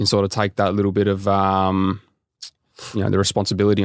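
Talking at a very fast pace, a man with an Australian accent has a fairly low pitch. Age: 20s. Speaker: professional footballer. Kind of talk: casual chat.

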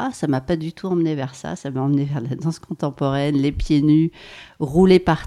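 In a dry, close recording with no echo, a woman with a very deep, low pitch and a dark, mellow tone speaks at a moderate pace with ordinary pitch variation. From France, Savoie (Maurienne valley). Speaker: body-movement practitioner, former dancer. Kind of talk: casual interview. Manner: hesitant, many fillers.

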